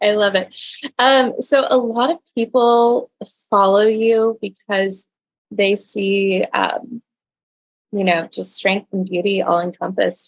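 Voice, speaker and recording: With an American accent, a woman speaks at a medium pitch with ordinary pitch variation. Her pace is very slow, and the sound is dry and close with no echo. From Texas. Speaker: podcast host. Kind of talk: casual interview chat.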